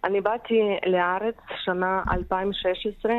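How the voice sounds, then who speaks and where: The speaker has a Ukrainian accent. Noticeable background noise runs underneath. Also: woman. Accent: Ukrainian accent in Hebrew. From Ukraine. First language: Ukrainian or Russian (speaking Hebrew). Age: 30s. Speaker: caregiver for Holocaust survivors. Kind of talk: radio interview. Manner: halting non-native Hebrew.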